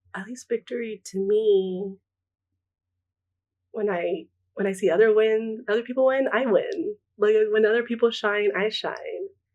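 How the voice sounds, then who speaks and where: A woman speaks in a Spanish accent. Her speech has long, frequent pauses. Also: fairly high pitch for a woman, ordinary pitch variation, fairly slow pace. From US West Coast, Pomona, California. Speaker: artist. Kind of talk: interview.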